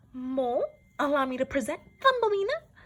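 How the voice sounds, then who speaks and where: A woman uses a put-on character voice, squeaky and shrill at a high pitch. She talks very fast. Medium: read story. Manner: bossy, wheedling.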